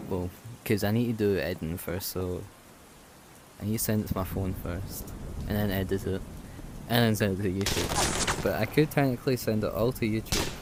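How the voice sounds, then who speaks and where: Soft-spoken and fairly quick, this voice has ordinary pitch variation and long, frequent pauses over noticeable background noise. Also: man, fairly low pitch for a man. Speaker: gaming YouTuber. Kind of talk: gameplay commentary. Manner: hesitant, filler-heavy.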